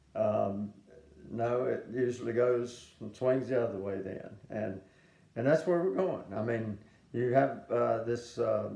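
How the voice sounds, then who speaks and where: Speaking at a fairly slow pace, a man with a dark, mellow tone is heard with audible room echo. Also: medium pitch for a man, ordinary pitch variation. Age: 70s. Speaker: preacher. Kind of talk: sermon. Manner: halting, many fillers.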